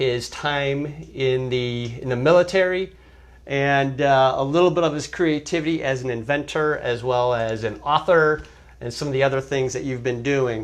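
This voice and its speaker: A man with a normal speaking voice, fairly high in pitch, with ordinary pitch variation at a moderate pace. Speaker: interviewer. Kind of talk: interview host introduction.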